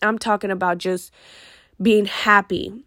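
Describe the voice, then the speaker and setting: The speaker's tone is animated, on a very clean recording with a silent background. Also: woman. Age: 20s. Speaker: podcast host. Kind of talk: casual monologue.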